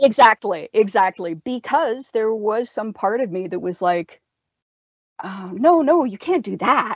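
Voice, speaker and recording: A woman with a Canadian accent has a plain, everyday voice pitched fairly high. She speaks at a fairly slow pace with lively intonation. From Canada. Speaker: horror author and podcast co-host. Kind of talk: casual chat.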